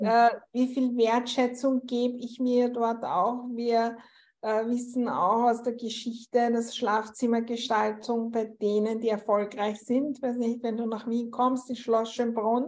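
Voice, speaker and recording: The speech comes at a very slow pace with monotone, flat intonation. It carries a slight Viennese accent. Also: woman. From Austria, Vienna. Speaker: interior space coach. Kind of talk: interview conversation.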